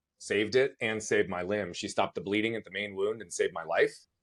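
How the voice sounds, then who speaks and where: Fairly low-pitched male voice with an American accent, on a very clean recording with a silent background. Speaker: motivational speaker. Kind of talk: interview. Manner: fast; animated.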